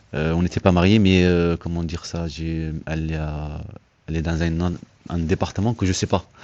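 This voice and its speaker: At a moderate pace, a man talks in a very deep, low voice with a dark, mellow tone and monotone, flat intonation. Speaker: father seeking help with letters. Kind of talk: conversation at an assistance office. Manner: soft-spoken; halting, many hesitations.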